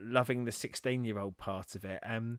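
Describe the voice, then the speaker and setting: A man with an English accent speaks over a dry, close sound with no echo. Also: very clean recording, silent background. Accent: English, mistaken for Australian by Americans. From England. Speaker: music reaction video host. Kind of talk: casual chat. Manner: halting, many repetitions and fillers.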